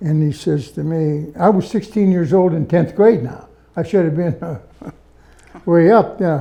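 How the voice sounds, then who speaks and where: Speaking with a Pittsburgh accent, a man talks at a fairly slow pace and a fairly high pitch. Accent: Western Pennsylvania (Pittsburgh). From Pittsburgh area, Pennsylvania (Verona). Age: 90s. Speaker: World War II veteran. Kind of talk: interview.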